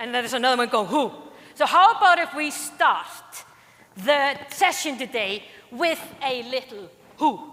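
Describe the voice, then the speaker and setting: A woman with a strong Icelandic accent speaks in a high, raised, projected voice. Noticeable background noise sits behind her. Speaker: conference speaker. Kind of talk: keynote talk. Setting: stage with audience. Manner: animated.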